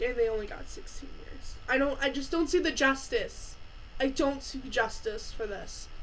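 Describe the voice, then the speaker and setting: A woman at a fairly slow pace, her intonation lively. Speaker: true crime youtuber. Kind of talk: casual true crime narration. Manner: halting.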